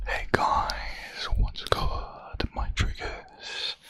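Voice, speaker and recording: The words are whispered fairly slowly. Noticeable noise sits in the background. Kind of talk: ASMR trigger words. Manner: slow, repetitive.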